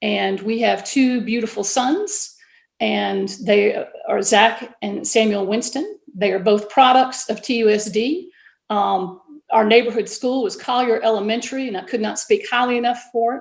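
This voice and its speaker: At a moderate pace, a woman with a Southern accent speaks in a fairly high pitch with ordinary pitch variation and vocal fry. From US South, Georgia. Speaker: school board candidate, science teacher. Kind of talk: candidate forum statement.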